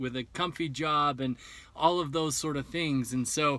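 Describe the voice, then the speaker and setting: A man's fairly even intonation comes through with a dry sound and no echo. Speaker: vlogger planning bus life. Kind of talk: casual vlog chat. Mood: reflective, candid about fears. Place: car.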